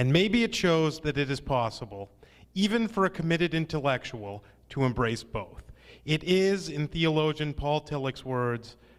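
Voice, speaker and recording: A normal speaking voice at a moderate pace. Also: man, fairly high pitch for a man, lively intonation. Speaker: reading passages aloud from a book at a talk. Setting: live event, handheld microphone.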